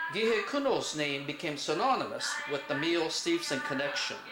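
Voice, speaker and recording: Music plays behind a man talking at a moderate pace. His high voice moves through very wide pitch swings. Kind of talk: historical narration.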